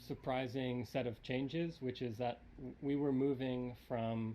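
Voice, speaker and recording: Soft-spoken, at a fairly slow pace. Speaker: event host. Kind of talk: opening speech at live-streamed show. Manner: halting. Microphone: too quiet.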